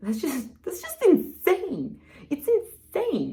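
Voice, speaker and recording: Noticeable background noise runs under a woman's voice. She speaks at a fairly slow pace in an animated tone. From Cyprus. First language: Greek. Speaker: self-help vlogger. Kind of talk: casual vlog monologue.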